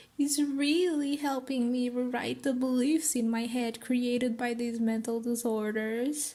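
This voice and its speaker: A woman talks at a fairly slow pace with a high pitch. Her tone is dark and mellow, and her intonation stays fairly even. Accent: Portuguese. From Portugal. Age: 20s. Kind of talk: informative talk to camera.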